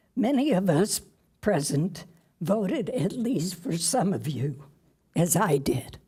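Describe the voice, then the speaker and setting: A woman with a dark, mellow tone, somewhat breathy at fairly low pitch, speaks at a very slow pace with very wide pitch swings and long, frequent pauses. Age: 80s+. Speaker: public commenter. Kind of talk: public comment speech. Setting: city council meeting.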